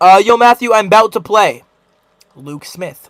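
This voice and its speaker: The man's voice sits at a high pitch. He speaks at a fairly slow pace. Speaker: livestreamer. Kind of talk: live stream chat.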